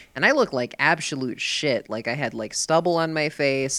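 A woman is speaking. There is noticeable background noise in the recording. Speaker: podcast host. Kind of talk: casual chat, profane.

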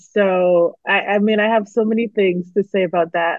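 In a Barbadian accent, a woman talks at a medium pitch with ordinary pitch variation. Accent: Barbadian Caribbean. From Barbados. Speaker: psychologist and company founder. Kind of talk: casual interview chat.

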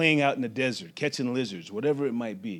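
A man with a plain, everyday voice speaks at a medium pitch with ordinary pitch variation. The recording is very clean, with a silent background. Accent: American. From Las Vegas, Nevada. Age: 40s. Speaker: university athletics administrator. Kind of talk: personal storytelling.

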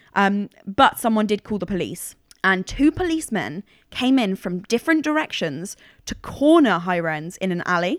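A woman at medium pitch talks at a moderate pace with very wide pitch swings in a dry, close sound with no echo. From Cambridgeshire, England. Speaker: podcast host telling a true crime story. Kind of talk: storytelling, casual. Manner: casual, joking.

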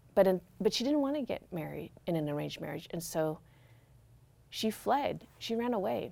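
Her dark, mellow tone sits at a medium pitch, with an American accent. The woman speaks at a moderate pace with very wide pitch swings. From Corvallis, Oregon, US. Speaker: journalist and memoir writer. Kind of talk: interview. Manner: halting.

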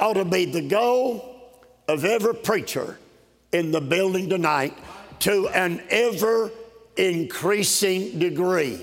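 A man with a Southern US accent talks at a very slow pace in a high pitch. His loudness is very even, and there is noticeable background noise. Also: ordinary pitch variation. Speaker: Baptist preacher. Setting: conference stage with live congregation. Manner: folksy and conversational between scripture, joking and talking directly to the crowd.

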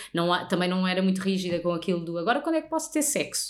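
Her pitch rises and falls very widely. The speaker is a woman. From Portugal, countryside near Lisbon. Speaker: radio host. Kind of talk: casual chat. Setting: host's living room.

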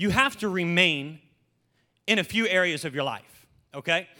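On a very clean recording with a silent background, a man raises and projects his high-pitched voice at a moderate pace, his tone animated, bright and sharp, with ordinary pitch variation. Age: 20s. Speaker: pastor. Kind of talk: sermon.

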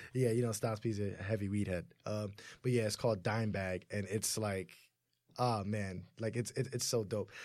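In a very clean recording with a silent background, a man with an ordinary speaking voice and an American accent speaks at a moderate pace, his fairly low pitch held in fairly even intonation. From US, Haitian family. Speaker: podcast co-host. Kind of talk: casual chat.

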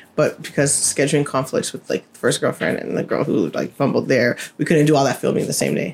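A woman with a very deep, low pitch talks at a fairly quick pace with hardly any pauses and ordinary pitch variation, while noticeable background noise carries on behind her. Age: 30s. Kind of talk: casual chat. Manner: fast talker.

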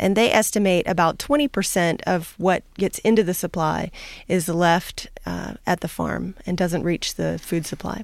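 A woman with an American accent speaks at a moderate pace with fairly low pitch, vocal fry, and ordinary pitch variation. The recording is very clean, with a silent background. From US Southeast. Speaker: agricultural researcher. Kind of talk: radio interview. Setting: radio studio.

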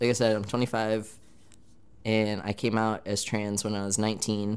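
Here a man speaks with an American accent. His pitch is fairly low. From Michigan. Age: 20s. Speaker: podcast host. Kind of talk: casual self-introduction.

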